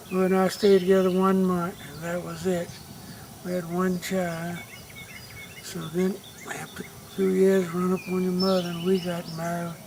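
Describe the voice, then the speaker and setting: With noticeable background noise and audible room echo, a man with a Southern US accent speaks at a high pitch in a monotone, flat intonation, leaving long, frequent pauses. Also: moderate pace. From US South. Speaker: family elder. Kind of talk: family oral history.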